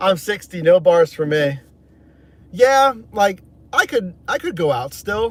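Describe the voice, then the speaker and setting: Very slow and marked by long, frequent pauses, a man speaks in a high voice with an American accent. His intonation is lively. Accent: 60% New York, 40% Pittsburgh. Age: 30s. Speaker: gig delivery driver and livestreamer. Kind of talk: casual livestream chat. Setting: in a car.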